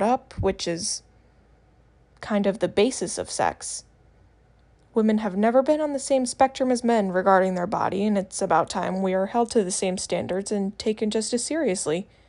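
A woman's normal speaking voice at a moderate pace, medium in pitch, with ordinary pitch variation. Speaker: first-time podcaster. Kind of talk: opinion monologue.

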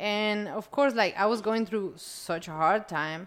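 A woman speaks with a Spanish accent at a fairly slow pace. Her intonation stays fairly even. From Colombia. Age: 20s. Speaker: podcast guest. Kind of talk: casual chat.

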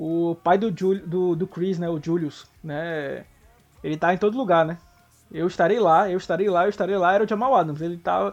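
A man speaks in a high voice with music playing in the background. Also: ordinary pitch variation, moderate pace. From São Paulo (Zona Leste). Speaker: American football blogger. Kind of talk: casual sports chat.

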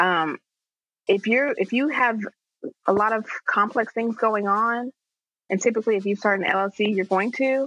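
The speaker goes at a moderate pace with ordinary pitch variation and long, frequent pauses. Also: woman, fairly high pitch for a woman. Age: 30s. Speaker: entrepreneur and nonprofit expert. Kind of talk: casual interview chat.

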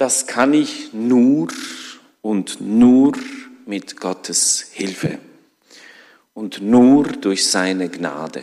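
A man's voice at a very slow pace, with long, frequent pauses and lively intonation. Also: medium pitch for a man. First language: not German (speaking German). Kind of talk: sermon. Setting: church.

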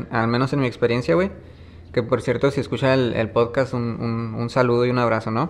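Here a man has an unremarkable speaking voice at a medium pitch. He keeps a moderate pace. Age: 30s. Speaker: musician and music producer. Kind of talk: casual interview. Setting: small snack shop. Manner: relaxed, colloquial.

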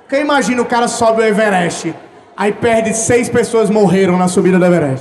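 Against noticeable background noise, a man with a high pitch and ordinary pitch variation talks at a fairly quick pace with very even loudness. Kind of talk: live podcast recording, casual banter. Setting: stage with audience. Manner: jokey.

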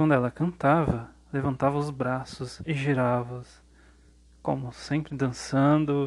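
This man's voice sits fairly high and keeps a fairly even intonation. He talks at a very slow pace. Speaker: history teacher and podcast host. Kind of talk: educational podcast narration.

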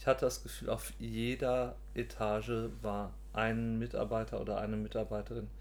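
A man talks at a moderate pace, and the room's echo is audible. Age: 40s. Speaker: podcast co-host. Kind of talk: casual chat.

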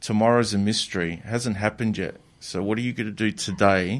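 A man with an unremarkable speaking voice talks at a moderate pace, with a fairly low pitch and fairly even intonation. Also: very clean recording, silent background. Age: 40s. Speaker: personal development and relationship coach. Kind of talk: interview.

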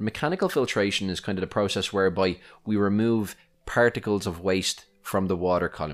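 In an Irish accent, a man talks at a fairly low pitch and fairly quick pace with fairly even intonation, on a very clean recording with a silent background. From Ireland. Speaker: podcast host, aquarium hobbyist. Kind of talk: solo podcast tutorial. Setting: home recording. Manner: casual, conversational.

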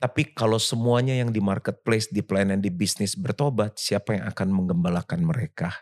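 A man's unremarkable speaking voice, fairly low in pitch, fairly quick with hardly any pauses and very even loudness, in a very clean recording with a silent background and a dry, close sound with no echo. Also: ordinary pitch variation. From Jakarta, Indonesia. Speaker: pastor. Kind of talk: casual interview chat. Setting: apartment sofa.

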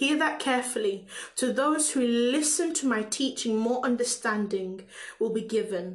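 A woman with a Caribbean accent speaks at a moderate pace, her high pitch showing ordinary variation. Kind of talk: prayer and preaching-style talk. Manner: halting, with fillers and repetitions.

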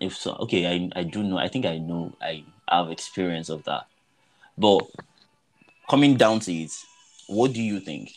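Over music in the background, a man with a Nigerian accent and a very deep, low pitch talks at a moderate pace with ordinary pitch variation and long, frequent pauses. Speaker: podcast host. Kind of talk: casual chat.

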